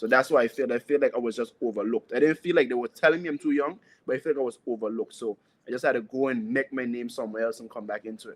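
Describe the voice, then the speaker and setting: A man with an Anguillan accent at a very fast pace, big swings in loudness, and a dry, close sound with no echo. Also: medium pitch for a man, ordinary pitch variation. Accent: Anguillan Caribbean English. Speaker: soca singer. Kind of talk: interview.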